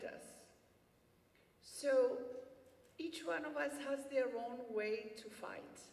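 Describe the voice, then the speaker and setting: A woman with a Greek accent, high-pitched and passionate, at a very slow pace with ordinary pitch variation and audible room echo. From Cyprus, Famagusta. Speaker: refugee activist. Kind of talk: acceptance speech. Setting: gala stage with audience.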